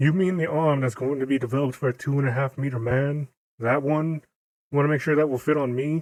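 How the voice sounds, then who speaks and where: A man puts on a character voice at a fairly high pitch and a very fast pace. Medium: read story. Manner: blunt, sarcastic.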